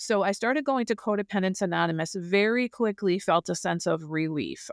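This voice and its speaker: A woman speaks at medium pitch with ordinary pitch variation and a moderate pace, in an unremarkable speaking voice. The sound is dry and close with no echo, a very clean recording with a silent background. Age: 60s. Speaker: guest sharing recovery story. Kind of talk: podcast interview, personal testimony.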